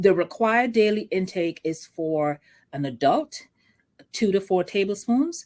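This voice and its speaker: Speaking at a fairly slow pace with a Vincentian accent, a woman uses a medium pitch and lively intonation. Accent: Vincentian Caribbean. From Saint Vincent and the Grenadines. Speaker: entrepreneur selling sea moss products. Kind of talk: interview. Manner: conversational, friendly.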